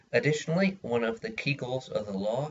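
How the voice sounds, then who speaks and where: A man's medium-pitched, somewhat breathy voice with very wide pitch swings. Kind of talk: persuasive speech for class. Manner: hesitant, many filler words.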